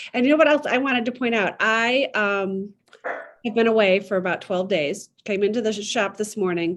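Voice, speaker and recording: At a moderate pace and a fairly high pitch, a woman with a Midwestern accent speaks with ordinary pitch variation against a quiet background. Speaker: podcast host and needlepoint shop owner. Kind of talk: casual interview chat.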